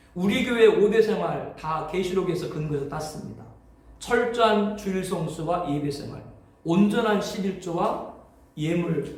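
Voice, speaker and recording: Amid noticeable background noise and audible room echo, a man with a high pitch speaks at a fairly slow pace, with ordinary pitch variation and big swings in loudness. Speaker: pastor. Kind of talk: lecture.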